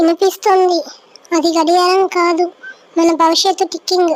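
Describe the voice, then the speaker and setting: Pitched extremely high, this is a cartoonish character voice. The delivery keeps a moderate pace. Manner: anxious, fretful.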